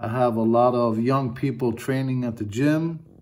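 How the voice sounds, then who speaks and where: The intonation is fairly even. Behind the voice, the background is quiet. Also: man. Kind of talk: casual vlog chat. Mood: reflective, grateful. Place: home room. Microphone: phone near.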